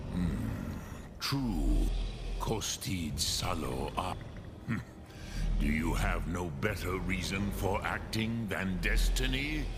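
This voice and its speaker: Over loud background noise, a man in a put-on character voice speaks in a solemn tone at a very slow pace. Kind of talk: dragon tongue mixed in. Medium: video game. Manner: slow, solemn, archaic.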